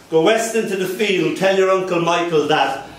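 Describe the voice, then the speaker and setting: Speaking at a moderate pace with an Irish accent and fairly even intonation, a man is heard amid noticeable background noise and audible room echo. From Ireland, Dublin. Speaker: poet. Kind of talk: poetry reading with anecdotes. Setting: cafe with live audience.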